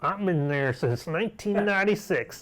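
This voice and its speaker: Using a put-on character voice, a man speaks at a moderate pace in a high pitch. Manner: gruff, prospector-like.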